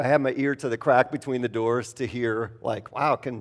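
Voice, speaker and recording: A man at medium pitch and a moderate pace. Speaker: pastor. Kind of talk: sermon. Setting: church. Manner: casual and halting, with many fillers.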